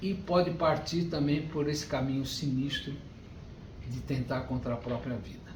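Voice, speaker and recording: Ordinary pitch variation at a moderate pace, with audible room echo. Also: man, fairly high pitch for a man. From Brazil, Rio de Janeiro. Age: 60s. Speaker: spiritist lecturer. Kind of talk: lecture.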